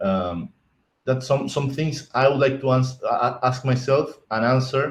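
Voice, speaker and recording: A man with a non-native accent speaks at a moderate pace in a somewhat breathy voice. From Argentina. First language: Spanish. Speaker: IT architect, conference speaker. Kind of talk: conference talk. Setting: virtual conference stream. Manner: halting, many repetitions and restarts.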